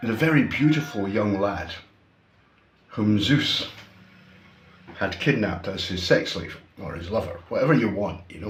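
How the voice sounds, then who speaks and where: With a Scottish accent, a man talks at a moderate pace in a fairly low voice, using lively intonation, big swings in loudness and long, frequent pauses, with audible room echo. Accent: Scottish, unmoderated. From Scotland. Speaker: YouTuber, commentator. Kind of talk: opinion monologue. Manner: casual, conversational with fillers.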